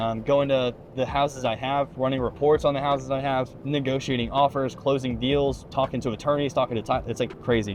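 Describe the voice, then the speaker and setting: A man speaks at a fairly quick pace and a medium pitch, with noticeable background noise behind him. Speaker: realtor. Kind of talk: casual vlog monologue. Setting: in a car. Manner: fast.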